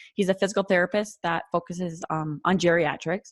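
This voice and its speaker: A woman is heard in a very clean recording with a silent background, dry and close with no echo. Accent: North Dakota. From North Dakota. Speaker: occupational therapist. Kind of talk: casual interview chat. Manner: many filler words (um, like, you know).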